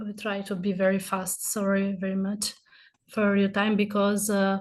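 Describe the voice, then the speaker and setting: Over a quiet background, a woman speaks at a medium pitch and a moderate pace, her intonation monotone and flat. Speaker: Roma rights activist. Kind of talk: virtual lecture. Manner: halting.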